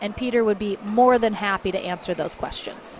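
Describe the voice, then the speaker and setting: A woman with a Michigan accent speaks against noticeable background noise. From US Midwest, Michigan. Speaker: sports commentator. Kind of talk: live commentary.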